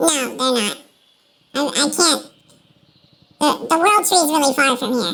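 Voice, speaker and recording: In a put-on character voice with high pitch, the speaker moves at a moderate pace, broken by long, frequent pauses. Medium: actual play. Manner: hesitant, halting, full of fillers.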